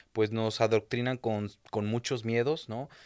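With a quiet background, a man speaks in fairly even intonation. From Querétaro, central Mexico. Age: 30s. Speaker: entrepreneur; podcast guest. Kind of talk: interview. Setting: studio. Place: studio. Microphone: studio mic.

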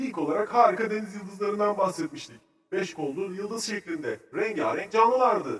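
Using a cartoonish character voice, a man speaks at a moderate pace with a high pitch, lively intonation, a fairly bright tone and a slightly husky edge.

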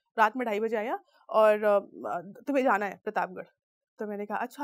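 A woman at a moderate pace with ordinary pitch variation, against a quiet background. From Uttar Pradesh, India (Pratapgarh); Uttar Pradesh, India. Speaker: PR professional and filmmaker; speaker. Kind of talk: motivational talk. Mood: earnest, emotional storytelling. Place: studio. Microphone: lapel.

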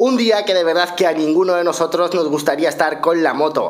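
In a Spanish accent, a man speaks at a high pitch with an animated tone. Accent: Spain Spanish. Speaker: motorcycle vlogger. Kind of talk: storytelling to camera. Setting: recorded at home. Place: home room. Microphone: studio mic.

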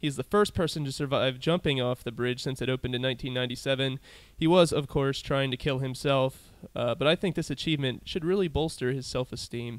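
Here a man has an unremarkable speaking voice, medium in pitch with ordinary pitch variation, at a fairly quick pace. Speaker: podcast host. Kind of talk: casual interview and event rundown. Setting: comedy club venue.

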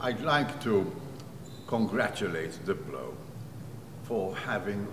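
A man speaks at a very slow pace. Background noise is noticeable. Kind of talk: interview statement. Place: hall.

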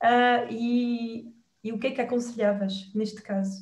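High-pitched female speech in a European Portuguese accent, ordinary pitch variation, audible room echo, and a quiet background. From Portugal. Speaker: hypnotherapist and wellbeing coach; wellbeing coach. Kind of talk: interview. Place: home room. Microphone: webcam.

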